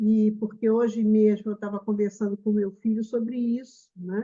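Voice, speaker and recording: A woman speaks in a fairly high, somewhat breathy voice. Her intonation is monotone and flat. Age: 70s. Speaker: spiritist meeting host. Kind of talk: casual chat. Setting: video call.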